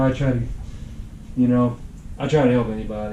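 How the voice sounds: A man's dark, mellow tone, with audible room echo around it.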